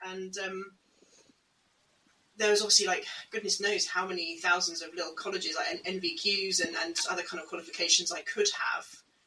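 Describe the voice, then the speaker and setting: A woman with a British accent speaks at a fairly quick pace and medium pitch, monotone with flat intonation, with long, frequent pauses and big swings in loudness. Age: 30s. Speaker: podcast co-host on home education. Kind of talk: casual conversation.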